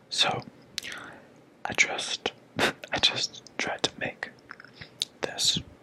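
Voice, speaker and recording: A man whispering in a relaxed tone, with long, frequent pauses and noticeable background noise. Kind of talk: ASMR ramble to camera. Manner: whispered, relaxed.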